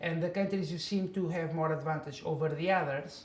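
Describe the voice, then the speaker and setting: A man's high voice with a Portuguese accent at a very fast pace, fairly even in intonation, with audible room echo and noticeable background noise. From Portugal. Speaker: migrant worker. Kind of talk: interview. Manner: halting.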